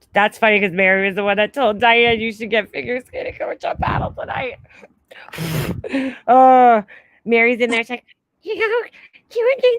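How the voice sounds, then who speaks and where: A loud, animated woman with an American accent, very wide pitch swings, long and frequent pauses, and a dry, close sound with no echo. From New York. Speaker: livestream host. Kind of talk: casual chat. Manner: loud, boisterous.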